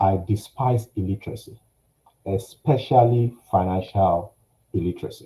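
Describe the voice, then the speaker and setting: The voice is somewhat breathy and dark and mellow in tone, moving at a moderate pace. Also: man. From Nigeria. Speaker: finance company executive. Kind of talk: personal testimony talk. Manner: halting, many fillers.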